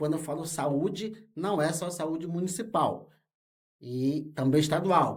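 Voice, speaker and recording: At a moderate pace, a man speaks with a fairly high pitch and ordinary pitch variation. There is audible room echo. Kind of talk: interview. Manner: halting, with many fillers.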